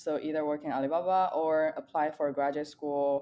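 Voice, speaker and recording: In a Chinese accent, the speaker goes at a moderate pace with ordinary pitch variation. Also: woman. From China, near Nanjing. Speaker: data scientist. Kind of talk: podcast interview.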